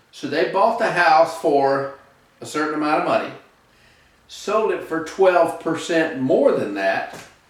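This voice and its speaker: A man's fairly high voice at a fairly slow pace, with audible room echo and noticeable background noise. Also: ordinary pitch variation. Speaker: real estate instructor. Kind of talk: tutorial.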